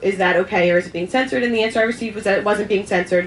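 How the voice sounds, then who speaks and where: There is noticeable background noise as a woman speaks at medium pitch with ordinary pitch variation. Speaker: panel speaker at libertarian festival. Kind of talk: panel discussion. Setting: event with audience, passed microphone. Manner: fast; halting, many ums.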